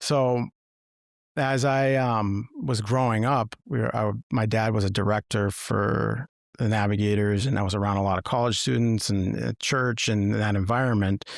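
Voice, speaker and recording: This man talks at a moderate pace in an American accent, with a fairly low pitch, ordinary pitch variation and very even loudness. It is an ordinary speaking voice on a very clean recording with a silent background. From Massachusetts, US. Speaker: former state trooper turned coach. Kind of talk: podcast interview, personal story.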